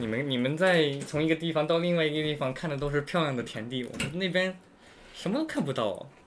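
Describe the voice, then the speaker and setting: A man talks at a fairly quick pace in a normal speaking voice, fairly high in pitch with lively intonation. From United States. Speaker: podcast guest. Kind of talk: casual chat.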